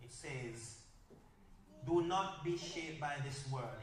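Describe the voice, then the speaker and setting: A man's fairly high-pitched voice with a Jamaican accent, very slow pace, and ordinary pitch variation, amid noticeable background noise and audible room echo. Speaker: workshop speaker. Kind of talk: workshop talk.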